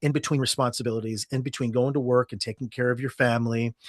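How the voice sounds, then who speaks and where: This man has a normal speaking voice at medium pitch, with fairly even intonation and a fairly quick pace. The sound is dry and close with no echo, over a quiet background. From Ohio, United States. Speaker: storytelling podcast host, guest. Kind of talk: interview answer.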